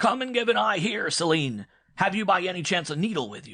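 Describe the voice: Shouting in a raspy, high-pitched, put-on character voice, a man speaks at a fairly quick pace with very wide pitch swings and big swings in loudness.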